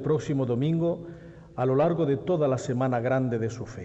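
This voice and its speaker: At a fairly slow pace, an ordinary speaking voice shows ordinary pitch variation. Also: man. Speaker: presenter of the herald. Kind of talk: formal speech introducing the herald, solemn oratory. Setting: stage with audience in theatre. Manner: formal, solemn.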